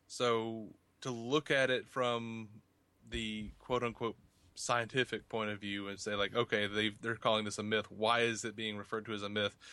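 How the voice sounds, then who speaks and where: With an Alabama accent, a man talks at a moderate pace and medium pitch, his bright, sharp tone held in a monotone, flat delivery. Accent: Southern US (Alabama). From US South, Montgomery, Alabama. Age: 30s. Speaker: podcaster and YouTuber. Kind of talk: casual interview.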